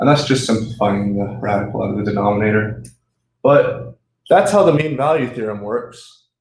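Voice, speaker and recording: Speaking at a moderate pace, a man's voice carries audible room echo. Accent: American. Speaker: student tutor. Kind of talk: tutorial. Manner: animated; casual.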